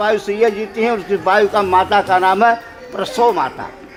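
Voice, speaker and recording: Music plays behind a man speaking. His voice is high in pitch, with fairly even intonation. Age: 70s. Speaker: wedding priest. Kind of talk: wedding ritual instruction.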